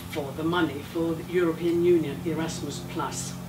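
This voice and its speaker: A woman speaks with noticeable background noise behind her. The room adds an audible echo. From Finland. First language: Finnish. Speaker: education professor. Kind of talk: lecture.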